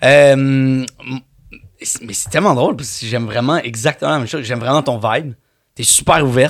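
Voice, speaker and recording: A man talks at a moderate pace with long, frequent pauses and big swings in loudness. His medium pitch shows ordinary variation. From Quebec, Montreal. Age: 30s. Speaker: actor. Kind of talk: casual chat.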